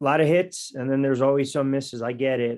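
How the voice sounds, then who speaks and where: This is a plain, everyday voice with fairly even intonation at a fairly quick pace. The recording is very clean, with a silent background. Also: man. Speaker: sports talk radio host and play-by-play announcer. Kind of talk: sports podcast banter.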